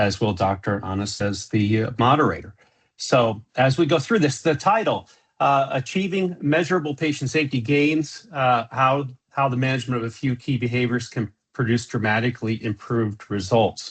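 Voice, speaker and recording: A man at medium pitch, somewhat breathy, with lively intonation, a moderate pace and a quiet background. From US Southwest, Phoenix, Arizona. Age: 60s. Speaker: safety consultant, presenter. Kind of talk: webinar presentation. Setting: video call. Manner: many filler words, halting.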